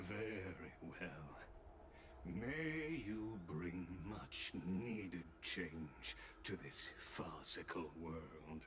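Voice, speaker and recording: Over loud background noise, a man puts on a character voice, very deep and low in pitch, delivered at a very slow pace. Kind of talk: ceremonial proclamation. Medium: video game. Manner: measured, formal.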